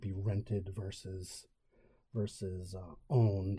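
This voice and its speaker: A man's somewhat breathy voice with a dark, mellow tone and an American accent, on a very clean recording with a silent background. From Merrimack Valley, Massachusetts. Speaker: podcast co-host. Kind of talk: casual business podcast chat.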